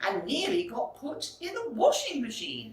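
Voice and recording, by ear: A woman speaks at a slow pace with big pitch swings, and there is audible room echo.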